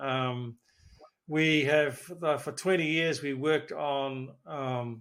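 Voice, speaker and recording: Recorded very cleanly with a silent background, a man with a New Zealand accent speaks at a fairly high pitch with fairly even intonation. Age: 70s. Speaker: physiotherapist. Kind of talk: interview. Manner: halting.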